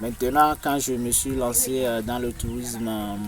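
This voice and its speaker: Through noticeable background noise, a man speaks at a very slow pace and medium pitch in a monotone, flat intonation. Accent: Togolese. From Togo. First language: Moba (speaking French). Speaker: tour guide. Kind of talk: interview answer.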